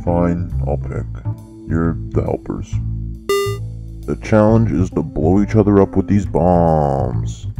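Clear music plays in the background as the speech moves at a fairly slow pace. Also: man, very deep, low pitch for a man.

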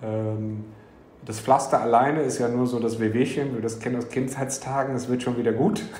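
With noticeable background noise and audible room echo, a man talks at a moderate pace in a medium pitch with ordinary pitch variation. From Frankfurt, Germany. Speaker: entrepreneur. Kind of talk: interview. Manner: hesitant with many fillers.

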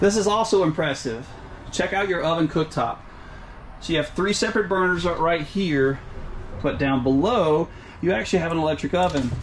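With light background noise behind him, a man talks at a fairly quick pace in a high pitch with ordinary pitch variation. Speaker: RV reviewer. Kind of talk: product walkthrough commentary. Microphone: phone near.

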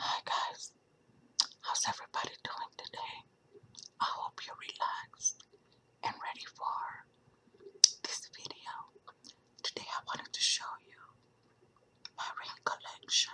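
Whispering, a woman speaks at a fairly slow pace with long, frequent pauses. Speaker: ASMR creator. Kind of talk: ASMR whispered show and tell. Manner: whispered; chewing gum while talking.

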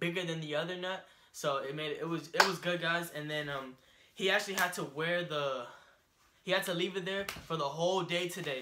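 Noticeable background noise sits behind a man who talks at a fairly quick pace in a high voice. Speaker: vlogger. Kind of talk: casual vlog chat. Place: home room. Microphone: camera far.

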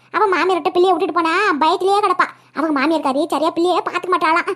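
Using a cartoonish character voice, a woman rattles along at a very fast pace. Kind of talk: cartoon comedy voice acting. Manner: talkative, folksy.

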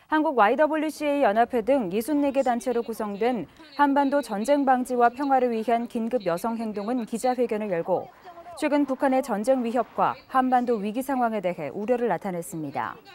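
At a moderate pace, a woman speaks with a high pitch amid noticeable background noise. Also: ordinary pitch variation. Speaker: news anchor. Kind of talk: news reading. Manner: formal.

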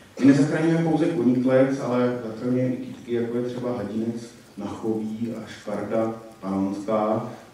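A man talks with hardly any pauses and fairly even intonation. Strong room echo surrounds his voice. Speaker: conservationist; conference presenter. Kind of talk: conference talk; lecture. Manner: fast once warmed up; hesitant with fillers. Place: hall.

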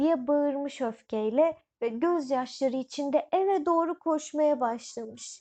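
Her voice is high-pitched with a slightly mellow tone. The woman speaks at a slow pace with ordinary pitch variation.

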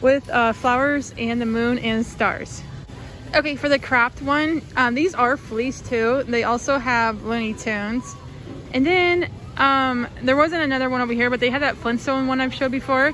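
Faint music plays in the background as a woman speaks at a moderate pace in a high pitch with fairly even intonation, the sound dry with no echo. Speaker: shopping vlogger. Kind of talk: casual vlog chat. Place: shop. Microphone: phone near.

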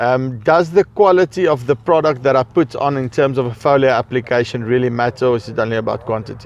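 Dry sound with no echo carries a man speaking at a moderate pace in an Afrikaans South African accent. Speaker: farming video host and interviewer. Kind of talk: on-site interview. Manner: hesitant, many fillers.

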